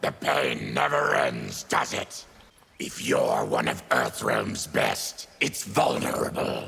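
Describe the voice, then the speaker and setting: A man growls in a put-on character voice, very deep and low in pitch, at a fairly slow pace. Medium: video game. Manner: gruff, grim.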